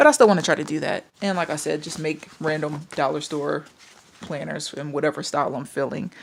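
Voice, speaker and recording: A woman speaks with vocal fry at a very deep, low pitch. Her intonation is fairly even, though her loudness swings widely. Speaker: craft and planner YouTuber. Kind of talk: casual vlog talk to camera. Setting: home, camera on tripod. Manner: rambling, filler-heavy.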